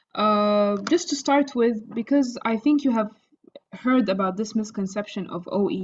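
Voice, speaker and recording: A somewhat breathy woman at a moderate pace, in an Arabic accent. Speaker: doctor who passed OET exam. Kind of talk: interview.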